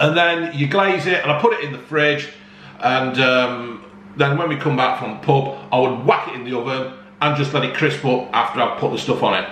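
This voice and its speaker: A man talks at a moderate pace with ordinary pitch variation. Room echo is audible, and there is light background noise. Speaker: home cooking vlogger. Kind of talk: casual vlog chat. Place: home room. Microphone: phone near.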